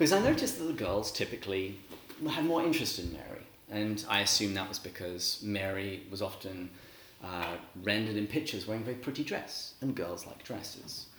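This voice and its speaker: Noticeable background noise sits behind a man talking at a fairly quick pace, his fairly low pitch carrying lively intonation. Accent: English. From England. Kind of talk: religious talk to a live audience. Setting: talk to a live audience.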